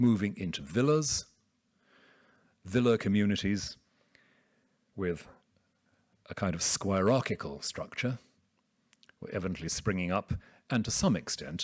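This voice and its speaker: A soft-spoken man with a British accent, fairly low in pitch, with lively intonation, a moderate pace and long, frequent pauses, on a very clean recording with a silent background. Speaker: theologian. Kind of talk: academic lecture.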